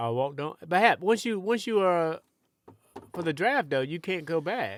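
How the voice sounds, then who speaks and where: On a very clean recording with a silent background, a man talks at a high pitch with lively intonation. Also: moderate pace. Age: 60s. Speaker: sports radio host. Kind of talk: casual chat. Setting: studio.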